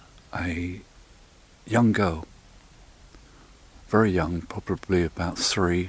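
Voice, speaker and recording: Soft-spoken and monotone, a man with an English accent speaks at a very slow pace in a very deep, low pitch with flat intonation. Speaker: paranormal investigator. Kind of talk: on-location investigation narration. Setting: outdoors in a churchyard at night. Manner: halting.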